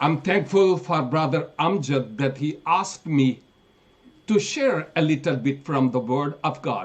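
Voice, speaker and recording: A man with a Pakistani accent speaks at a very slow pace. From northern Pakistan. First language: Pahari. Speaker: preacher. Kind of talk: sermon.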